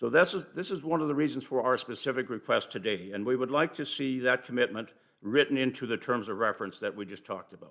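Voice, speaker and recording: A man's medium-pitched voice at a very fast pace, hardly any pauses, ordinary pitch variation and big swings in loudness. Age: 70s. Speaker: community volunteer presenting to council. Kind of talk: formal presentation at council meeting. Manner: halting with restarts.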